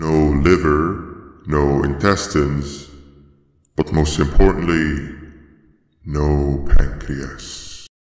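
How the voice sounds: A man's put-on character voice, extremely low-pitched, fairly even in intonation and very slow in pace.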